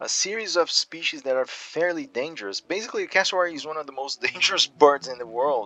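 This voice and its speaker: A very fast, lively voice in a non-native accent with hardly any pauses and big swings in loudness, dry and close with no echo, over music in the background. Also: man, fairly high pitch for a man. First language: not English. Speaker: gaming youtuber. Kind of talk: gameplay commentary. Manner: halting, many repetitions and fillers.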